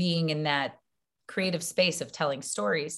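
In an American accent, a woman with an unremarkable speaking voice, fairly low in pitch, talks at a moderate pace with ordinary pitch variation on a very clean recording with a silent background. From US South, Baton Rouge, Louisiana. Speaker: actress and filmmaker. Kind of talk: interview.

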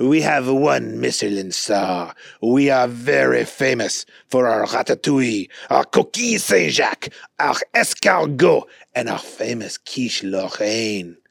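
The voice is raspy. It has a French accent. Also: man, medium pitch for a man, fairly slow pace. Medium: read story. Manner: courteous, amused.

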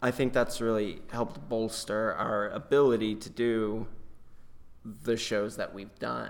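A man's plain, everyday voice at a medium pitch, fairly slow in pace, with ordinary pitch variation and big swings in loudness. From North Carolina, near Chapel Hill. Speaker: stage actor. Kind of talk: casual interview.

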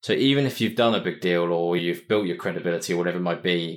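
In a southern English accent, a man with a very deep, low pitch speaks very fast on a very clean recording with a silent background. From southern England (Winchester). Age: 30s. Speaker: entrepreneur. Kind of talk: interview.

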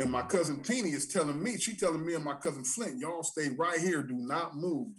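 A man with fairly high pitch and lively intonation, at a moderate pace. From San Diego, California. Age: 50s. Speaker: former gang member turned community advocate. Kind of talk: casual interview.

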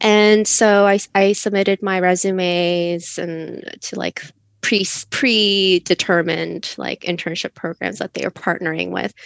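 A woman with an American accent and a plain, everyday voice speaks at a fairly slow pace in a fairly low pitch with ordinary pitch variation. The sound is dry and close with no echo against a quiet background. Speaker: podcast co-host, grad student. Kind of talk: casual interview chat.

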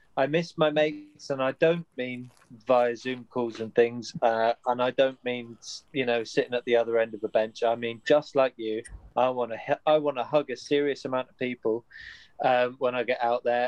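A man with a British accent speaks at a moderate pace and a medium pitch. The sound is dry and close with no echo, and his loudness swings widely. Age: 30s. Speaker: podcast host. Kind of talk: casual interview chat.

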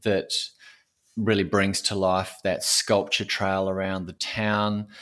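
He speaks with an Australian accent. The man's intonation is monotone and flat. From Queensland, Australia. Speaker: audio storyteller and oral historian. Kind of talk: interview conversation.

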